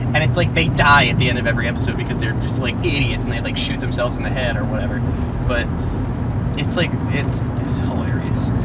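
Loud background noise sits under a man who talks very fast. No echo is heard, and the sound is dry. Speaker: driver vlogger. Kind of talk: casual vlog chat. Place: car. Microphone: phone near.

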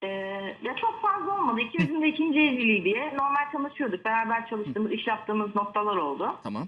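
The speech comes at a very fast pace with very wide pitch swings. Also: woman, fairly high pitch for a woman. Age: 30s. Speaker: caller. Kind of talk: phone-in. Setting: phone call.

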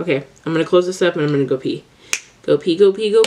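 A woman's medium-pitched voice with ordinary pitch variation, amid noticeable background noise. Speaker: beauty vlogger. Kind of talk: drunk makeup tutorial. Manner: animated.

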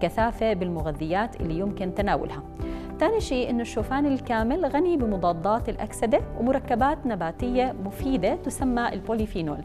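A woman at a moderate pace, with clear music playing behind her. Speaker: presenter. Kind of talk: informative TV segment. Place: studio. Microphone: lapel.

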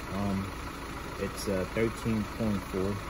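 There is no echo and the sound is dry, but background noise is noticeable. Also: man. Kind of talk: tutorial. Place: garage. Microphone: phone near.

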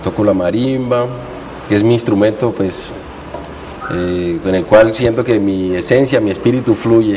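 A man speaks at a fairly slow pace with fairly low pitch, fairly even intonation and an unremarkable speaking voice. Light background noise can be heard. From Colombian Pacific coast (Guapi, Cauca); Colombia. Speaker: musician; guest. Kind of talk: interview. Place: studio. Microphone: lapel.

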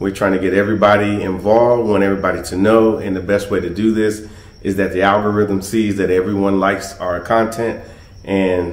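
With a fairly low pitch and monotone, flat intonation, a man speaks at a fairly quick pace amid audible room echo. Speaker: travel company host. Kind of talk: casual vlog chat. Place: home room. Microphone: phone near.

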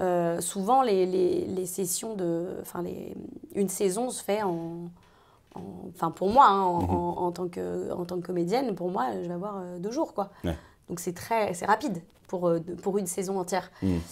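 This woman speaks at a medium pitch with ordinary pitch variation. Her pace is fairly slow. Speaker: voice actor (dubbing). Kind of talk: interview chat. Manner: hesitant, many fillers.

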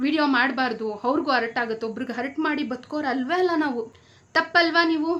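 Variation in pitch stays ordinary. A bright, sharp tone colors the voice. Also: woman, high pitch for a woman. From Bangalore, Karnataka. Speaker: vlogger. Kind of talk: opinion vlog rant. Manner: animated.

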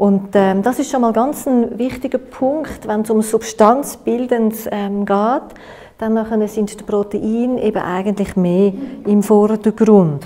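A woman speaks very slowly at a fairly high pitch in a Swiss accent. Her pitch variation is ordinary. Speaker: nutritionist and workshop lecturer. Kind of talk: workshop lecture. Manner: hesitant, many filler sounds. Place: meeting room.

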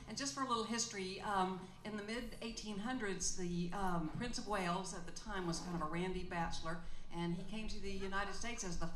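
A woman talking at a fairly quick pace with ordinary pitch variation, audible room echo and light background noise. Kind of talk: stage banter and song introduction. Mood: joking, lighthearted. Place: stage.

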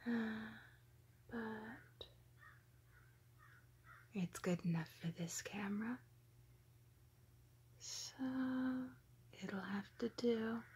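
Whispering and somewhat breathy, a woman speaks at a very slow pace with long, frequent pauses. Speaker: vlogger. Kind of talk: ASMR narration. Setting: outdoors. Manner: whispered. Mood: amused, playful. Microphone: phone near.

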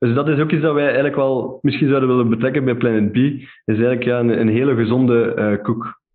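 A man talks at a very fast pace with hardly any pauses. The background is quiet. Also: medium pitch for a man, fairly even intonation, very even loudness. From Flanders, Belgium. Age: 20s. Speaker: entrepreneur; podcast guest. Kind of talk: interview. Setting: remote recording. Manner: hesitant, many fillers. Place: home room.

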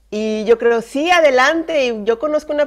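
A woman talks at a moderate pace, her pitch varying in an ordinary way, with a quiet background behind her. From northern Mexico, Monterrey; northern Mexico. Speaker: missionary; guest. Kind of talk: testimony. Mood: warm, personal storytelling. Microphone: video call.

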